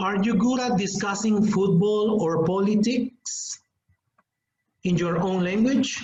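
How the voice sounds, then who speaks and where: The speaker talks at a very slow pace in a Spanish accent. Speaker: English teacher trainer. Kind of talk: webinar lecture.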